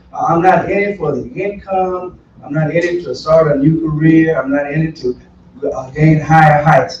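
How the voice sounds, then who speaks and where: Against noticeable background noise, someone with an American accent talks at a moderate pace with fairly even intonation. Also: man, fairly high pitch for a man. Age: 60s. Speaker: political candidate, retired pastor. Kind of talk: candidate forum answer.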